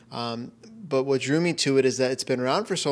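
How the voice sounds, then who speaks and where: A man with an American accent talks at a fairly quick pace with a medium pitch in an ordinary speaking voice. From Florida. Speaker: hypnotherapist. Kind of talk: casual interview. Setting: in person.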